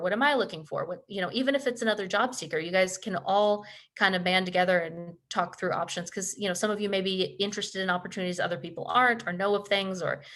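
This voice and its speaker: A woman at a medium pitch, very fast, with ordinary pitch variation. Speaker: career development presenter. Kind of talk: webinar presentation.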